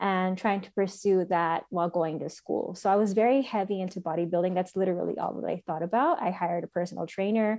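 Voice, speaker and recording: Against a quiet background, a woman with an American accent speaks very fast with hardly any pauses, her medium-pitched voice dark and mellow and her intonation fairly even. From El Paso, Texas. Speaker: dietitian. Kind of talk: casual chat.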